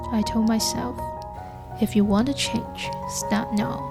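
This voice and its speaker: Over music in the background, a woman speaks in a gentle, calm tone. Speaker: nurse. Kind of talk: casual talk to camera, personal vlog narration. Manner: soft-spoken, gentle, calm.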